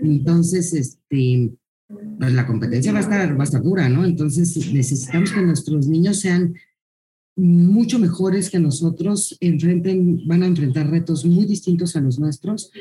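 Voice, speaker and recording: In an unremarkable speaking voice, a woman talks at a fairly slow pace with fairly low pitch, ordinary pitch variation and very even loudness. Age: 50s. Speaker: school director. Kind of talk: interview.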